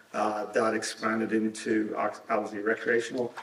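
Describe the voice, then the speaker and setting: There is audible room echo along with noticeable background noise. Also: man. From Ireland, Dublin. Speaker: cannabis regulatory consultant. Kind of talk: conference panel talk. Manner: halting, many fillers.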